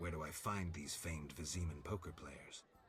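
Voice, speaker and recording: A man uses a put-on character voice with a very deep, low pitch. Background noise is clearly audible. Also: moderate pace. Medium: video game. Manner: terse, deadpan.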